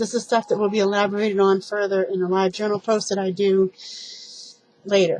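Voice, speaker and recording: A woman speaks quietly at medium pitch and a moderate pace, with music in the background. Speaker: TV review vlogger. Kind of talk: casual monologue review. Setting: at home at night, people sleeping. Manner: quiet, keeping voice down.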